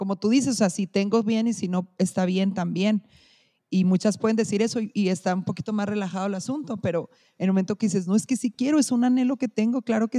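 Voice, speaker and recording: A woman talks at a fairly quick pace with a somewhat breathy, dark, mellow tone. The sound is dry and close with no echo, over a quiet background. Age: 30s. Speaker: educational support worker. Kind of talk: casual chat.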